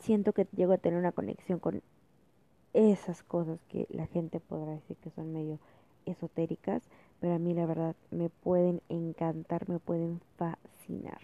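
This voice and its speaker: In a dark, mellow tone, a woman with a fairly low voice speaks at a fairly slow pace with fairly even intonation, the sound dry and close with no echo. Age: 20s. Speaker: student podcaster. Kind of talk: casual monologue.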